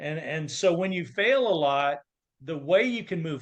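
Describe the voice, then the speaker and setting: This man has an unremarkable speaking voice and talks at a moderate pace. He pitches fairly high, with lively intonation. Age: 60s. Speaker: confidence coach. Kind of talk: interview.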